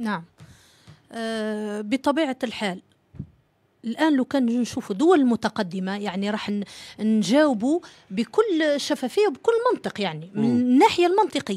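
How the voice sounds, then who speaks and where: The voice has a dark, mellow tone and lively intonation, moving at a fairly slow pace. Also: woman, fairly high pitch for a woman. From Algeria. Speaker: civil society association leader; talk show guest. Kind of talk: TV panel interview. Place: studio. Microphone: studio mic.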